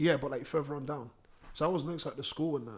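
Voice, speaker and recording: Very fast and animated, a man talks in a fairly high pitch. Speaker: rapper. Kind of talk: casual chat.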